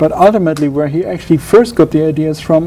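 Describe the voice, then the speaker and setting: A fairly quick delivery in a German accent over noticeable background noise. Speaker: doctoral researcher in Pacific history. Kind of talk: interview. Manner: halting, many repetitions and false starts.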